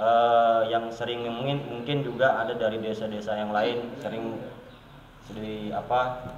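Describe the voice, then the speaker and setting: A moderate pace with a slight South Kalimantan accent, amid audible room echo and noticeable background noise. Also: man. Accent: slight Banjar. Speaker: village official. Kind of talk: interview.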